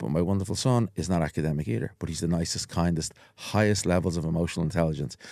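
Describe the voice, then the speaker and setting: On a very clean recording with a silent background, a man talks at a very fast pace in a very deep, low pitch with vocal fry, a dark, mellow tone and ordinary pitch variation. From Ireland, Dublin (Walkinstown). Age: 50s. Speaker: hypnotherapist. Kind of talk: casual chat.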